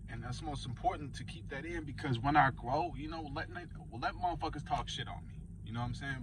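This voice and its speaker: A man talks at a fairly quick pace over noticeable background noise, with audible room echo. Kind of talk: casual monologue vlog. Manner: stuttering, off the cuff.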